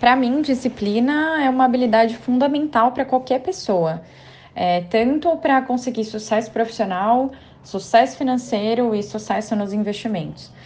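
Moderate-paced female speech, high in pitch, with ordinary pitch variation. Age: 20s. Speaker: economist, financial planner. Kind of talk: recorded testimony.

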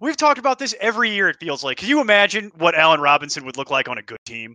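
With an American accent and a bright, sharp tone, a man speaks at a fairly quick pace, recorded dry and close with no echo against a quiet background. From Chicago. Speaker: fantasy football podcast co-host. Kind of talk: casual sports chat. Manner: animated.

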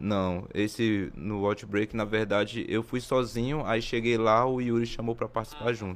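Moving at a moderate pace, a man with an unremarkable speaking voice keeps a fairly low pitch and fairly even intonation. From Maranhão, Brazil, raised near Brasília. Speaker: breakdancer. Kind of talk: casual interview.

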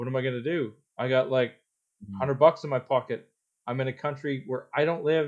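At a fairly quick pace, a man talks in a plain, everyday voice at medium pitch, with ordinary pitch variation. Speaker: volunteer firefighter. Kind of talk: casual chat. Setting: remote call.

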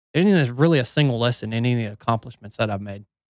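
Delivered in a Southern US accent with lively intonation, the voice sounds dry and close with no echo on a very clean recording with a silent background. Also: man. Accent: Southern US (Georgia). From US South, northwest Georgia. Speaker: former Navy SEAL and ultrarunner. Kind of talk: casual interview chat.

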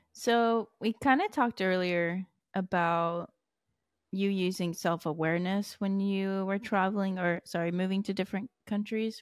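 A woman with an ordinary speaking voice talks at a medium pitch with fairly even intonation. The sound is dry and close with no echo, in a very clean recording with a silent background. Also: moderate pace. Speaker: podcast host and student. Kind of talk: casual interview.

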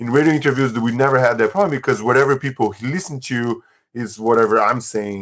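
A man speaks at a medium pitch with ordinary pitch variation and a very fast pace, recorded very cleanly against a silent background. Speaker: economics teacher and food-sharing organizer. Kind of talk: interview.

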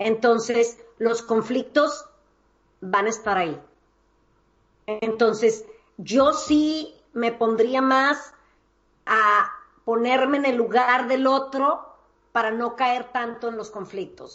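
A woman at a very slow pace, high in pitch with ordinary pitch variation, long, frequent pauses and big swings in loudness. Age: 50s. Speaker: psychologist and life coach. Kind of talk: interview.

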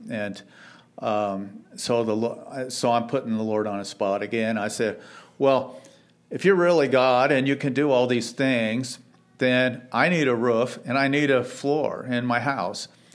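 A man speaks at a medium pitch and a fairly slow pace, with ordinary pitch variation. It is an unremarkable speaking voice. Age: 60s. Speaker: church member giving testimony. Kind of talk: testimony.

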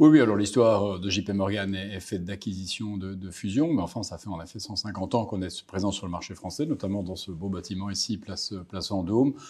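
With a slight Belgian accent, a man speaks at a fairly quick pace and fairly low pitch in a dark, mellow tone, with ordinary pitch variation, big swings in loudness and hardly any pauses. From Belgium, Brussels. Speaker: market strategist. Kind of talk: interview. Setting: office in Paris. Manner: hesitant, repeats words.

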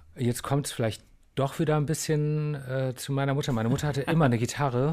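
Very fast and fairly even in intonation, a man's medium-pitched voice comes through on a very clean recording with a silent background. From Bonn, Germany, partly raised abroad. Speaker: musician. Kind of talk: interview. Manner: halting.

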